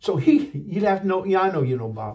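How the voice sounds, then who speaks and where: A man at a moderate pace, animated in tone, with very wide pitch swings. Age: 60s. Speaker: pastor. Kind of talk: interview storytelling. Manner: halting.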